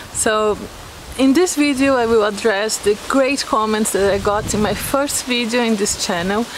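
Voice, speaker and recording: A woman talks at a moderate pace in a fairly high voice, her loudness very even. The sound is dry with no echo, though background noise is noticeable. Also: ordinary pitch variation. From Brazil. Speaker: vlogger. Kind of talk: casual talk to camera. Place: garden.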